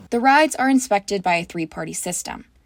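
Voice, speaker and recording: A woman's plain, everyday voice with an American accent, medium in pitch, at a fairly quick pace, on a very clean recording with a silent background and a dry, close sound with no echo. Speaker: student reporter. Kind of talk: TV news reporter delivery.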